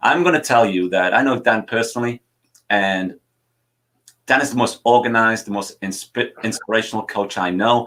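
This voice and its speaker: An animated man with a Geordie accent and a medium pitch, in a very clean recording over a silent background. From northern England, Newcastle (Wallsend). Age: 60s. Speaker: soccer coaching show host. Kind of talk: live show chat.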